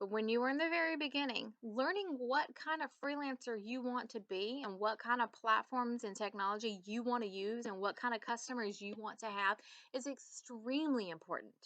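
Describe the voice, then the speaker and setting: In a Southern US accent, the speaker talks at a fairly quick pace with hardly any pauses, using a bright, sharp, animated tone and ordinary pitch variation. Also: woman, high pitch for a woman. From US South. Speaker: business coach. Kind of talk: tutorial.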